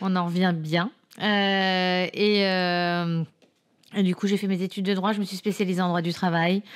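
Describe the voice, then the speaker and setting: A woman speaks with very even loudness and monotone, flat intonation. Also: medium pitch for a woman, fairly slow pace. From France, Paris. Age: 40s. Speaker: career changer, sales trainee. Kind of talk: podcast interview. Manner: hesitant, many fillers.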